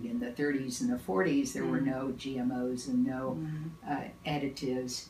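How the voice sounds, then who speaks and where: With a Midwestern accent and hardly any pauses, a woman speaks in a very deep, low pitch with ordinary variation over noticeable background noise. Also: moderate pace. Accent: American Midwest. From Kansas. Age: 80s+. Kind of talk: interview answer.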